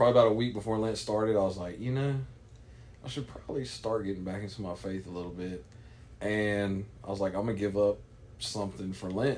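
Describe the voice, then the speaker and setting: Audible room echo surrounds very fast speech with ordinary pitch variation. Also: man, fairly low pitch for a man. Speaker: podcast guest. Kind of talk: casual chat. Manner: stuttering at times.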